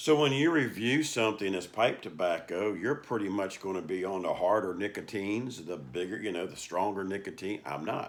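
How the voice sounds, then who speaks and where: A man talks at a fairly quick pace with lively intonation and hardly any pauses. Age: 60s. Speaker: pipe and cigar reviewer. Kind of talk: casual vlog monologue. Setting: cigar lounge. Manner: halting.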